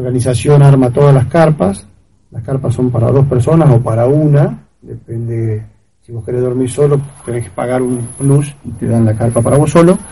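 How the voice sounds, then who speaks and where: A man talks at a moderate pace and medium pitch, somewhat breathy, with ordinary pitch variation. His loudness swings widely. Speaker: amateur trail runner. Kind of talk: interview. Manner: halting.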